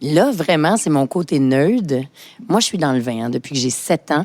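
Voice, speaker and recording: With a very deep, low pitch, a woman talks fairly slowly using lively intonation. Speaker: sommelier and entrepreneur. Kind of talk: interview conversation. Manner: animated.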